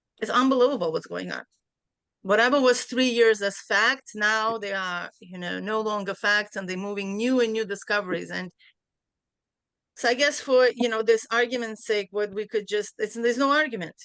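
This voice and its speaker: Over a quiet background, a woman with a Central Asian accent speaks at a moderate pace. Her voice sits fairly high, with ordinary pitch variation. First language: Bukharian. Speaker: class participant. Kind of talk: discussion in a study class. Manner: hesitant, many fillers.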